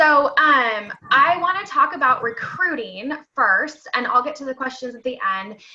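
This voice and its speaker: A raised, projected voice with lively intonation, a fairly slow pace and big swings in loudness. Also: woman, high pitch for a woman. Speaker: direct sales consultant and team trainer. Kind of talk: online training session.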